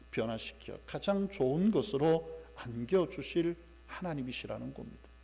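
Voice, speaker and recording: Here a man talks at a moderate pace with lively intonation and a fairly high pitch. His voice carries audible room echo. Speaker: pastor. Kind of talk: sermon.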